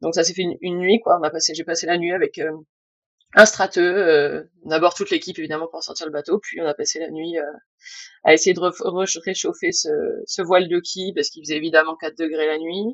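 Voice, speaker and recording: Speaking at a fairly quick pace, a woman with a fairly low pitch keeps a monotone, flat intonation while her loudness swings widely. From France, Bordeaux / Atlantic coast. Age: 30s. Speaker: naval architect. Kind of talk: interview. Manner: talkative; halting.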